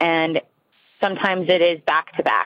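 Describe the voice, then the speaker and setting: This woman has a plain, everyday voice with a medium pitch. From New Jersey. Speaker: caller. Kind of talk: voicemail. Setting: phone call.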